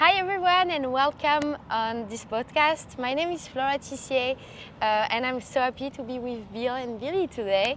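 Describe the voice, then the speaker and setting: A high-pitched woman's voice at a moderate pace, with lively intonation. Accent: French. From southern France, Montpellier. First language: French. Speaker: college athlete. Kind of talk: podcast introduction.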